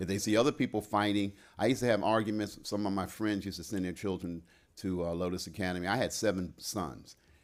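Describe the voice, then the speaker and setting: A man with an American accent at a very fast pace, fairly low-pitched with ordinary pitch variation, on a very clean recording with a silent background. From Ohio, US Midwest. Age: old. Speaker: school director, lecturer. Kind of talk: lecture Q&A.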